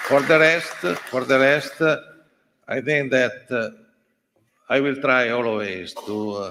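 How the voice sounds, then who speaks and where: A man in an Italian accent speaks at a fairly slow pace, with a medium pitch and ordinary pitch variation. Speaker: sports journalist association president. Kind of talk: acceptance speech. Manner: halting.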